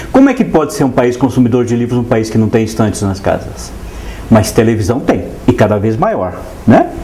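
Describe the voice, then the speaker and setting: A man speaks at medium pitch with ordinary pitch variation and a fairly quick pace. There is noticeable background noise and audible room echo. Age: 60s. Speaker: writer, translator and painter. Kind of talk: TV interview.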